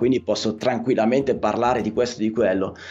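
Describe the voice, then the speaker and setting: Noticeable background noise runs beneath a man's talking. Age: 40s. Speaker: electrician and podcaster. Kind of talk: casual interview chat. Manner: halting.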